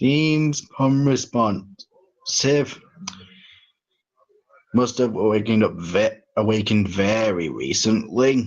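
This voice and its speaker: Putting on a character voice, a man mumbles at a very slow pace and a medium pitch, with ordinary pitch variation and long, frequent pauses. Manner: mumbling, low and hard to make out.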